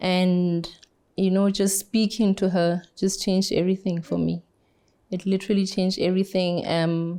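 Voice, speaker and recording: Soft-spoken, dark, mellow speech at a moderate pace, with very even loudness and monotone, flat intonation. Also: woman, medium pitch for a woman. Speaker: cancer survivor, foundation founder. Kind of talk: interview testimony.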